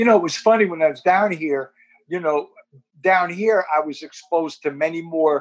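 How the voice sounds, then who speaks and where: A man with a high-pitched voice and a New Jersey accent. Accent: New Jersey American. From Newark, New Jersey (Ironbound). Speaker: community organization board member. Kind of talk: interview.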